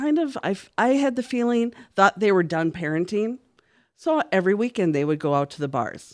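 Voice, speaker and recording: A normal speaking voice from a woman with an American accent, moderate pace and lively intonation. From Minnesota, Minneapolis. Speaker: church worker, podcast guest. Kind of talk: interview.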